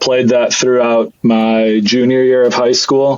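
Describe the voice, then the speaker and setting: A man's plain, everyday voice at medium pitch, moderate pace and fairly even intonation. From Switzerland, moved to Michigan at 13. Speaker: freight sales executive. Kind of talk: casual interview. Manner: casual, filler-heavy.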